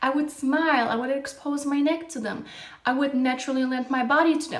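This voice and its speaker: In an animated tone, a woman speaks with a high pitch amid audible room echo. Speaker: dating advice youtuber. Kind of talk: monologue to camera.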